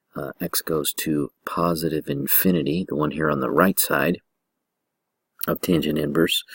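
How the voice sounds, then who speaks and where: This man talks at a fairly slow pace with a very deep, low pitch, vocal fry, and a monotone, flat intonation, all in a dry, close sound with no echo. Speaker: math teacher. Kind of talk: lecture. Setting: at home. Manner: soft-spoken.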